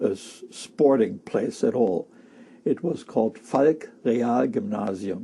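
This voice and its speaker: A man's medium-pitched voice with a German accent, dark and mellow in tone, fairly slow, with lively intonation. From Germany, Berlin. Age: 70s. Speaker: war-era eyewitness. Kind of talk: oral history interview. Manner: halting.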